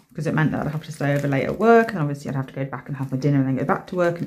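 A woman speaks at a very deep, low pitch with ordinary pitch variation. Light background noise sits behind her. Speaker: nail art creator. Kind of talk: casual vlog chat. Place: home room.

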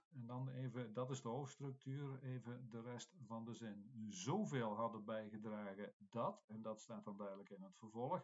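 Speaking at a fairly slow pace with hardly any pauses, a man uses a medium pitch and ordinary pitch variation. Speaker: Latin teacher. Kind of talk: classroom text explanation. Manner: hesitant, explanatory.

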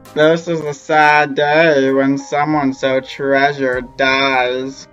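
Over faint music in the background, a put-on character voice with low-to-middle pitch speaks very slowly in a monotone, flat intonation. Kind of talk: comic overacting. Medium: fan dub. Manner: melodramatic, scolding.

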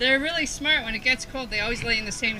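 Over noticeable background noise, a woman speaks with ordinary pitch variation. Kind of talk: interview answer. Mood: cheerful, laughing. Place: farm machine.

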